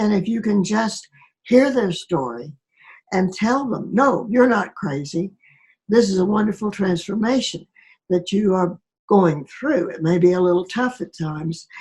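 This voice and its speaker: Her pitch sits in the medium range for a woman, and her intonation is lively. She speaks at a fairly slow pace, sounding somewhat breathy. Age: 80s+. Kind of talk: interview answer.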